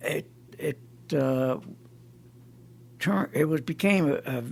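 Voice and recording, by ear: Slow speech with vocal fry comes through in an American accent. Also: man.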